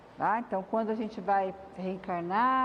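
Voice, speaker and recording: The speaker is soft-spoken, with ordinary pitch variation and a moderate pace. Noticeable background noise is present. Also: woman. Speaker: spiritist lecturer. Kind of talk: lecture.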